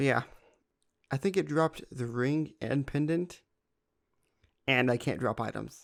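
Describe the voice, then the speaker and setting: This man speaks at a fairly slow pace, pitched at a medium level with ordinary pitch variation. His long pauses come often. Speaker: gaming youtuber. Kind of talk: gameplay commentary. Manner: casual, rambling with hesitations.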